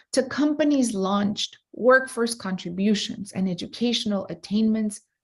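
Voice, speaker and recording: In a Latin American accent, a woman of medium pitch speaks fairly slowly with ordinary pitch variation. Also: big swings in loudness. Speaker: entrepreneur and keynote speaker. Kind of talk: keynote speech. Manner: loud; enthusiastic.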